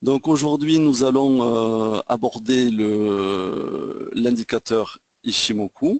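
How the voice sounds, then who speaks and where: A man speaks very slowly in a Toulouse accent, the sound dry and close with no echo. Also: medium pitch for a man, ordinary pitch variation. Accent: southwest French (Toulouse). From southwest France, Toulouse. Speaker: trading trainer. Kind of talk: webinar lecture. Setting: online webinar. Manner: hesitant, many fillers. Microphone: sound reported good.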